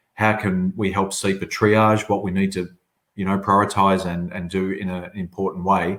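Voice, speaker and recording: A fairly low-pitched man with an Australian accent. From southern Australia. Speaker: agency chief executive. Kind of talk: webinar panel discussion.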